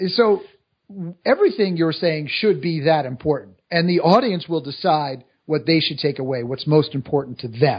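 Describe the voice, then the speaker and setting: A man speaks at a moderate pace in a normal speaking voice. His pitch sits fairly high, with ordinary variation. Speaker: public speaking coach and author. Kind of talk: interview.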